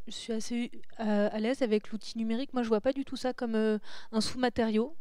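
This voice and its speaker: A woman speaks at a moderate pace in a fairly high voice with a dark, mellow tone and fairly even intonation. The sound is dry with no echo and the background quiet. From southern France, Saint-Raphaël; southern France. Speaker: comic book illustrator; interview guest. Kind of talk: interview conversation. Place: hall. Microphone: handheld.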